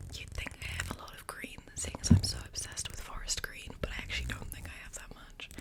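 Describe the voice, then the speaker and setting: A woman whispers over noticeable background noise. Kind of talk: ASMR whisper ramble to camera. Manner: whispered, soft, rambling.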